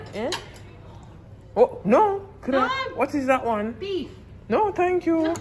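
With a Jamaican accent, a woman speaks at a very slow pace and an extremely high pitch, with very wide pitch swings and light background noise. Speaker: vlogger and professional netball player; vlogger. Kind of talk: casual vlog talk to camera.

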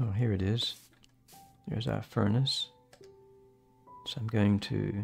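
Faint music plays behind a man who speaks at a fairly slow pace, leaving long, frequent pauses. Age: 70s. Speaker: gaming video creator; gaming streamer. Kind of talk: gameplay commentary. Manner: casual, chatty. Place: home room. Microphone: studio mic.

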